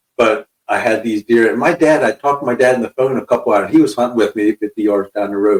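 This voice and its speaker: A man speaks at a very fast pace and a medium pitch with a central Pennsylvania accent. The sound is dry and close, with no echo. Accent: central Pennsylvania (rural US). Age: 60s. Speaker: hunter and fisherman, podcast guest. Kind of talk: casual chat, storytelling.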